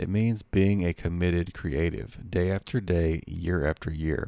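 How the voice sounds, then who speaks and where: A man with a very deep, low pitch speaks at a moderate pace with ordinary pitch variation on a very clean recording with a silent background. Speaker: podcast host and author. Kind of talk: audiobook reading of own nonfiction book. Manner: steady, earnest, motivational narration; clear, measured, read-aloud pacing.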